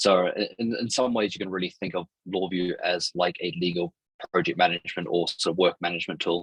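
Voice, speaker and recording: The speech moves at a fairly quick pace with fairly even intonation, in a dry, close sound with no echo. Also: man, very deep, low pitch for a man. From Ireland. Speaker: startup CEO. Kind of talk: podcast interview.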